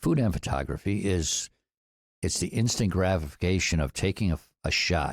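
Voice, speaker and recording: A man's very deep, low voice at a moderate pace, with ordinary pitch variation and very even loudness, in a dry, close, very clean recording with a silent background. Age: 60s. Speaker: food entrepreneur. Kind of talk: podcast interview.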